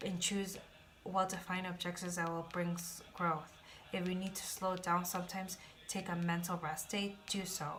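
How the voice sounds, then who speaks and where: In audible room echo, a woman speaks at a moderate pace with a medium pitch and monotone, flat intonation. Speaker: tarot reader. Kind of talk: tarot reading.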